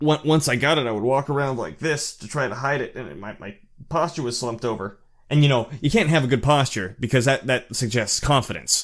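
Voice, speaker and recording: A man speaks at a fairly quick pace at medium pitch, with ordinary pitch variation and big swings in loudness, on a very clean recording with a silent background. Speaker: channel host discussing narcissism. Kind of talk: personal monologue. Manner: halting, many fillers and repeats; voice rises when excited.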